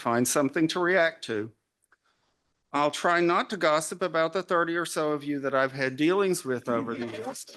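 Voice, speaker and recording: In an Arkansas accent, a bright, sharp tone moves at a moderate pace with ordinary pitch variation over a quiet background. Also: man. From US South, Arkansas. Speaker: retired literary journal editor, keynote speaker. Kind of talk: keynote lecture. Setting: conference talk with audience.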